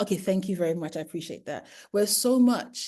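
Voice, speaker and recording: Against a quiet background, a woman with a British accent speaks in a medium pitch, somewhat breathy and dark, mellow in tone, with ordinary pitch variation. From UK. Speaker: primary educator. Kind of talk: webinar lecture. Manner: fast.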